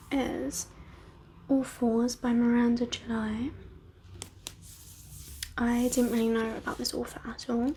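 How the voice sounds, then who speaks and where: Against noticeable background noise, a high-pitched woman talks at a very slow pace with fairly even intonation. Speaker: ASMR content creator and book reviewer. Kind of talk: casual talk to camera, book review. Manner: soft-spoken, whispered.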